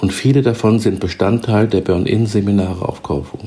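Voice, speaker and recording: A man's fairly low voice at a moderate pace, with ordinary pitch variation over noticeable background noise. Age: 60s. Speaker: self-help podcaster. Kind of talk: scripted narration. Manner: formal.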